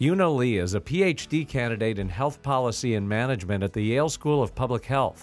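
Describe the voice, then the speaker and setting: Here is a plain, everyday voice at a moderate pace. The intonation is lively. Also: man, very clean recording, silent background. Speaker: radio announcer. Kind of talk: scripted announcements. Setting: studio.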